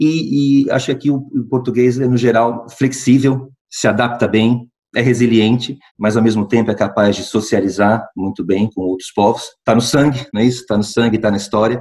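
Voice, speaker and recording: A man's speech has fairly even intonation and a moderate pace. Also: medium pitch for a man. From Brazil, interior of São Paulo state. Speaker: healthcare company executive. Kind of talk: interview. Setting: remote call. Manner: halting, many fillers and repetitions.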